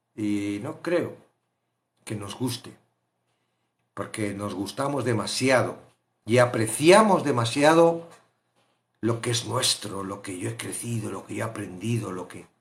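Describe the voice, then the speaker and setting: Using an animated tone and medium pitch, a man talks at a fairly slow pace with long, frequent pauses, big swings in loudness and ordinary pitch variation. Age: 60s. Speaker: Bible study teacher. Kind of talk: Bible study teaching.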